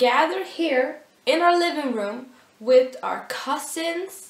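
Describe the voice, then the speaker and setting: A woman speaks at a very slow pace, her pitch swinging very widely. Audible room echo surrounds her voice. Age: 19. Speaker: vlogger. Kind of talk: casual vlog.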